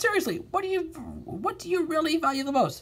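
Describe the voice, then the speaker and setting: A man performs a squeaky put-on character voice at an extremely high pitch. He speaks very fast. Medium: read story. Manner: shifty, wheedling.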